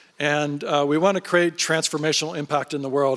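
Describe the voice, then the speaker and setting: A man talks very fast in a fairly high pitch. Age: 60s. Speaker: fund founder and investor. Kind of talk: panel interview on stage.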